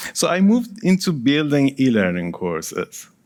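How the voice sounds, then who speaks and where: Very wide pitch swings in a Persian accent, very clean recording with a silent background. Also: man. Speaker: project management consultant and author. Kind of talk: conference presentation.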